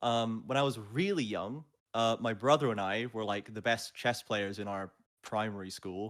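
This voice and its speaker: Speaking at a moderate pace, a man with a medium-pitched voice and a slight Scottish accent shows ordinary pitch variation. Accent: generic English with slight Scottishness. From Scotland, with childhood moves around the UK. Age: 20s. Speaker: esports play-by-play caster. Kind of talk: casual interview chat. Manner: animated.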